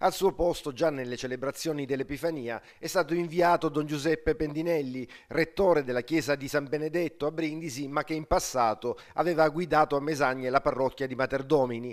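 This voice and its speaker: With a plain, everyday voice, a man speaks at a fairly quick pace in a fairly high pitch and fairly even intonation, on a very clean recording with a silent background. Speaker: local TV news reporter. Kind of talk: formal news reading, scripted report. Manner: formal, steady, measured newsreader delivery.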